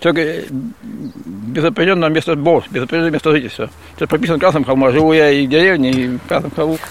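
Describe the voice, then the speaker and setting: A man's fairly high voice races along at a very fast clip, with noticeable noise in the background. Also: ordinary pitch variation. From Krasny Kholm, Tver region. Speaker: manual worker. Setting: outdoors at work site.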